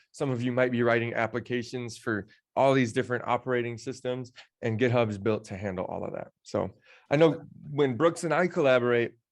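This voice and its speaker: Over a quiet background, a man speaks at a fairly quick pace. His pitch is medium, with ordinary variation. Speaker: tech instructor. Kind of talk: live online training session. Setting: studio under lights, live stream. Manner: fast; animated.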